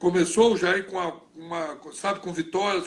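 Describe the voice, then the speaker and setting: The voice belongs to a man with a high pitch. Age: 60s. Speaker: football coach and former player. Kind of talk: interview. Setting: live video stream.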